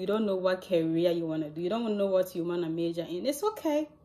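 This woman talks at a very fast pace, with ordinary pitch variation. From Ghana. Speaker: youth lifestyle vlogger. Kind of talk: casual vlog monologue. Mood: warm, encouraging. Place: home room. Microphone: phone near.

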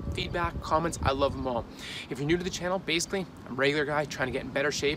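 Noticeable background noise fills the clip. A man does the talking. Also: dry sound with no echo. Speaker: home fitness vlogger. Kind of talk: casual workout tutorial. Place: street. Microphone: phone near.

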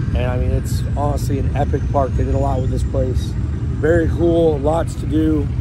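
Over noticeable background noise, a man with a very deep, low pitch talks at a moderate pace with ordinary pitch variation. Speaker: YouTube channel host, off-road truck enthusiast. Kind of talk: casual vlog narration. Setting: outdoors at a mud park. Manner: animated.

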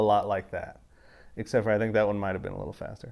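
A man talks at a fairly low pitch. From Wyoming. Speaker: motorcycle vlogger. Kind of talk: casual video update. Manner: halting, many filler words. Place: garage.

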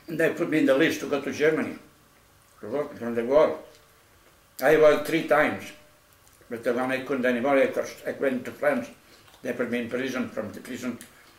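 A man speaks at a fairly high pitch with ordinary pitch variation and a fairly quick pace. Long, frequent pauses break up his speech, and the room echo is audible. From Spain. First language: Spanish. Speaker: Spanish Civil War veteran, anarchist. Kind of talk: casual chat. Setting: at home. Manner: halting. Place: kitchen. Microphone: camera far.

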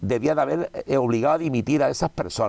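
A man talks at a fairly quick pace in a dark, mellow tone with vocal fry. The background is quiet. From Spain. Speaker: politician. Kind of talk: interview. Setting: cinema room. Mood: indignant political criticism. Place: studio. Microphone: lapel.

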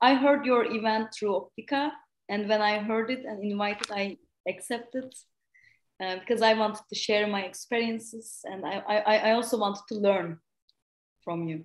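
A woman's fairly high voice in a Turkish accent, at a moderate pace with ordinary pitch variation. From Turkey. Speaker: university lecturer in physics. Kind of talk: academic talk. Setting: video call.

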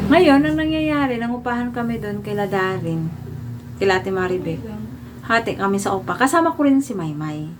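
A woman's pitch swings very widely as she talks at a fairly quick pace, with audible room echo and noticeable background noise. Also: medium pitch for a woman. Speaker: vlogger. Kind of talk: storytelling monologue.

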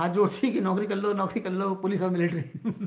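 The voice is a man's, and it is pitched high. Behind him, the background is quiet. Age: 60s. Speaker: YouTuber and cashier; YouTuber. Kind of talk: live stream chat with viewers. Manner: conversational, reads viewer comments aloud. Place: home room. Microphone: phone near.

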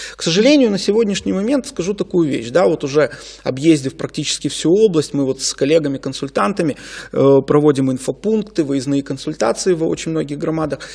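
Against a quiet background, a man speaks in an ordinary speaking voice at fairly high pitch. His intonation is lively and his pace fairly quick. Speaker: legal expert. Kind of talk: studio interview. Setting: studio. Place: studio. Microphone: studio mic.

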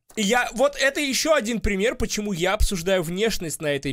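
Against a quiet background, a man with a high pitch makes very wide pitch swings. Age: 30s. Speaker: streamer reacting to a TV show. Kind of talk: casual reaction commentary. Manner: animated. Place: home room. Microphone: studio mic.

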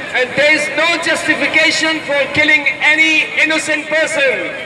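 A man's raised, projected voice at an extremely high pitch, flat and monotone, at a moderate pace, with crowd noise behind him. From United States. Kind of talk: rally speech, protest address to a crowd. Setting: outdoor protest rally. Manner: impassioned, forceful, declamatory with repeated phrases; rhetorical, rising cadence, crowd-rousing. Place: street.

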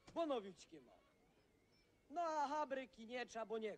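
With a Podhale accent, a man speaks at an extremely high pitch with lively intonation over light background noise. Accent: Podhale Goral dialect. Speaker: actor in period drama. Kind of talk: scripted film dialogue. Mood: grateful, polite. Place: open country.

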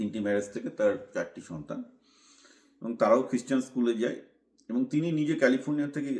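A man's normal speaking voice with ordinary pitch variation. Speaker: commentator / vlogger. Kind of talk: monologue commentary.

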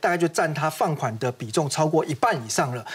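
A man speaks with a Taiwanese accent. His pace is very fast. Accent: Taiwanese Mandarin. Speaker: financial analyst. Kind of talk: TV finance panel discussion. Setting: TV studio. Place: studio. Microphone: lapel.

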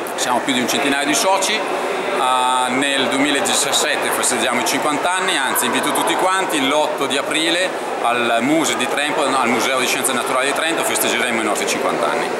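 Loud background noise accompanies a man whose moderate pace and ordinary pitch variation stay clear. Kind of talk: interview answer. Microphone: phone near.

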